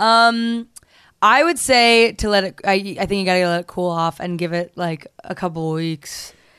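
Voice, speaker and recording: A woman with an American accent, medium pitch and a bright, sharp tone, at a moderate pace with ordinary pitch variation, against a quiet background. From New Jersey. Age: 20s. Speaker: comedian and singer. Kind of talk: casual chat.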